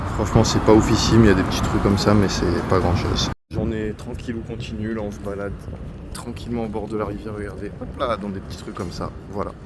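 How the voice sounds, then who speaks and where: A man talks at a very fast pace in a monotone, flat voice with a fairly low pitch and big swings in loudness. Audible room echo and noticeable background noise fill the recording. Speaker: travel vlogger. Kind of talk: vlog narration. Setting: outdoors walking in city. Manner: casual, relaxed.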